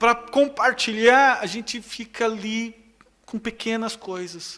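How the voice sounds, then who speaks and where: Very slowly, a man projects a raised voice that is high in pitch with a bright, sharp tone. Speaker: pastor. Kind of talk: sermon. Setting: church.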